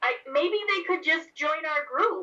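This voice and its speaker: The voice is a put-on character voice with ordinary pitch variation. It moves at a fairly slow pace. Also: woman. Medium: actual play. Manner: earnest, helpful.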